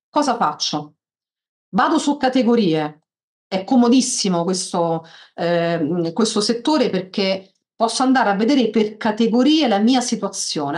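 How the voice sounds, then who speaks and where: The background is quiet. A woman speaks with very wide pitch swings. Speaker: software tutorial instructor. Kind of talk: tutorial. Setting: video call. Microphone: video call.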